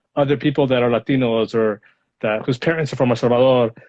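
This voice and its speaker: Fairly quick speech with a Spanish accent and ordinary pitch variation. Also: man. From Los Angeles, US. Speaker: lawyer. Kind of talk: interview. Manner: halting.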